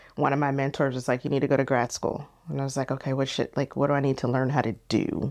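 A woman with an American accent talks in a very deep, low pitch. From San Diego, California. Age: 40s. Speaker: entrepreneur and event promoter. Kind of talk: interview conversation.

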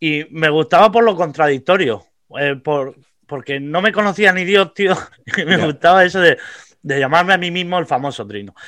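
On a very clean recording with a silent background, a man with a high pitch and a bright, sharp tone speaks at a moderate pace with lively intonation. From Vega Baja, Alicante, Spain. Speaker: comedian. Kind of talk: casual chat.

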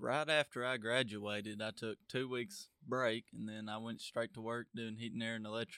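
A man with a rural Southern US accent speaks at a medium pitch in a bright, sharp tone. His delivery is fairly even in intonation, moderate in pace with hardly any pauses, and the sound is dry and close with no echo. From US South, Tennessee (DeKalb County). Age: young. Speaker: young tradesman and hunter. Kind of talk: casual interview. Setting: studio.

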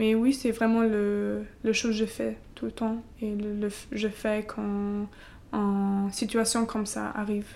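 The delivery is very slow, with monotone, flat intonation. The tone is dark and mellow. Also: woman, fairly high pitch for a woman. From eastern Germany. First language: German (speaking French). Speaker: civic service volunteer at a school. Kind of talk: interview. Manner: halting, hesitant with many fillers.

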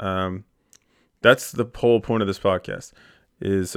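The recording is very clean, with a silent background. A man with an American accent speaks in a fairly low pitch with monotone, flat intonation. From Pennsylvania, Philadelphia suburbs. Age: 20s. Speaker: sports reporter and podcast host. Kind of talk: casual podcast monologue. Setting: home podcast studio. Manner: casual with frequent fillers.

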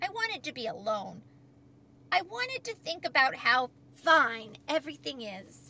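Using a put-on character voice, a woman speaks at a fairly slow pace with a high pitch, big pitch swings, vocal fry and a bright, sharp tone.

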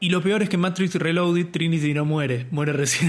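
Against noticeable background noise, a man talks at a moderate pace with a fairly high pitch. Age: 30s. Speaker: film podcast host. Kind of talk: casual chat.

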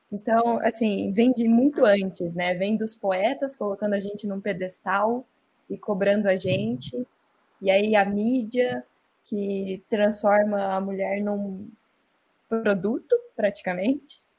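A woman speaks at a very slow pace with medium pitch. Her voice is somewhat breathy. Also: ordinary pitch variation. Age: 20s. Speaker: advertising professional. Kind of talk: casual chat.

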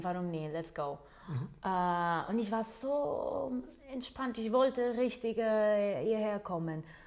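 A woman is speaking. She talks with a Portuguese accent. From Portugal. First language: Portuguese (speaking German). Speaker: nurse. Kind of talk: interview. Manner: hesitant, with many fillers.

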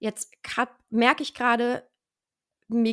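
Here a woman speaks with a fairly high pitch. The sound is dry and close with no echo, and the recording is very clean with a silent background. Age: 20s. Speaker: stress trainer and mental coach. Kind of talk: interview.

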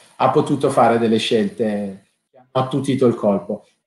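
A man speaks at a moderate pace in a normal speaking voice. His pitch varies in an ordinary way. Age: 40s. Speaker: law professor and winemaker. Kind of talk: interview.

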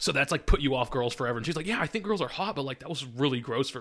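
In an American accent, a man talks very fast at a medium pitch with lively intonation, on a very clean recording with a silent background. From Wisconsin, dairy farm country. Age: 20s. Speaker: bartender. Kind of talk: casual chat.

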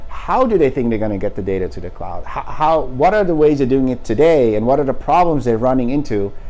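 Hardly pausing, a man at medium pitch speaks at a very fast pace with lively intonation in a room with audible echo. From Netherlands. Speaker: startup founder and CEO. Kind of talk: interview. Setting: company office.

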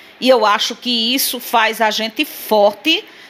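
Noticeable background noise fills the recording. Over it, a woman talks at a very slow pace. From Sousa, Paraíba, Brazilian Northeast. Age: 50s. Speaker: political activist. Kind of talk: interview.

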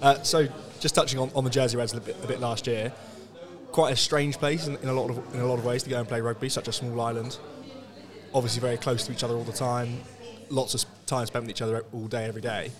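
A man talks at a very fast pace with long, frequent pauses and fairly even intonation over noticeable background noise. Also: medium pitch for a man. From England. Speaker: sports podcast host. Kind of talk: casual interview. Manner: halting, many repetitions.

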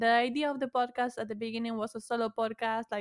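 A woman with a Spanish accent at a fairly quick pace, in a dry, close sound with no echo. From Argentina. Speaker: podcaster. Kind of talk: casual chat. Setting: video call.

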